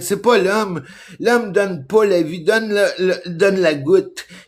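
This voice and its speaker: A man in a Quebec accent speaks at a moderate pace with ordinary pitch variation. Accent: Québécois French. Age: 60s. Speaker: vlogger. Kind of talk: casual monologue. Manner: animated; halting.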